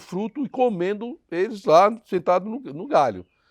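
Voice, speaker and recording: A man speaks in a dry, close sound with no echo against a quiet background. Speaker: pastor. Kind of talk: sermon.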